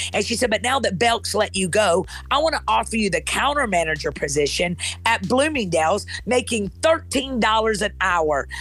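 A woman's voice at very even loudness, with music in the background. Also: moderate pace. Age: 40s. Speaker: pastor. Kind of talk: motivational preaching.

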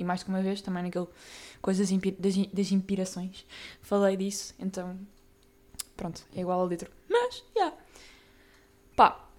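Fairly slow and monotone, a woman of medium pitch delivers flat intonation with long, frequent pauses. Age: young. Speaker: podcast host. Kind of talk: casual monologue. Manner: casual, filler-heavy.

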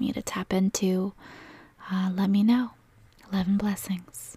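Somewhat breathy, a woman with a medium pitch speaks in a warm, soothing, dark and mellow tone, the sound dry and close with no echo. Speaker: meditation guide and energy healer. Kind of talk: guided meditation. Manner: slow, soothing, calm and gentle with long pauses; soft-spoken, reassuring and warm.

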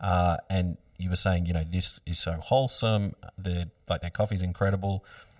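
A man with a very deep, low pitch and an Australian accent at a moderate pace, fairly even intonation, dry and close with no echo, on a very clean recording with a silent background. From Australia, Byron Bay area. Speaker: podcast host. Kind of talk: casual interview. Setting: studio.

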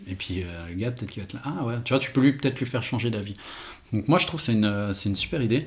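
A man talks at a very fast pace with a medium pitch. His voice is somewhat breathy, with ordinary pitch variation. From French-speaking Switzerland, Renens near Lausanne. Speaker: watchmaker and brand co-founder. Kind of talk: casual interview.

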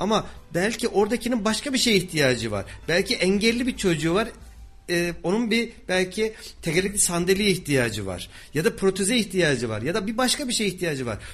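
Lively intonation carries the speaker's words along at a fairly quick pace. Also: man, high pitch for a man. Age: 40s. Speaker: radio host. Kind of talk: radio interview.

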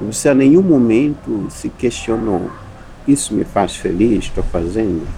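A man talks at a fairly slow pace with lively intonation. Noticeable background noise runs behind him. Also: medium pitch for a man. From Mozambique, Zambezi valley. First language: Sena (Chisena) (speaking Portuguese). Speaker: university professor. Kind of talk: interview conversation.

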